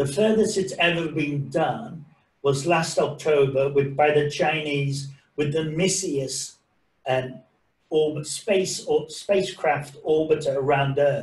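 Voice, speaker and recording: A man speaks at a fairly slow pace in a fairly high pitch, somewhat breathy, with fairly even intonation and very even loudness. Audible room echo surrounds his voice. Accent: English. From England, of Irish parents. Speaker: science presenter; presenter. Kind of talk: lecture. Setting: video call. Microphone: video call.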